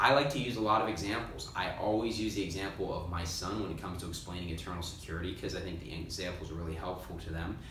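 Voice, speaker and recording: Over noticeable background noise and audible room echo, a man with an American accent talks very fast with hardly any pauses, his very deep, low voice showing ordinary pitch variation. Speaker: missionary pastor. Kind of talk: informational talk to viewers. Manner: casual with many filler ums.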